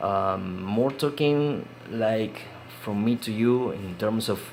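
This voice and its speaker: There is audible room echo here. It carries a man's speaking voice. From Uruguay. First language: Spanish. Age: 40s. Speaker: indie game developer. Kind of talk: casual vlog talk. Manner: halting, many fillers and repetitions.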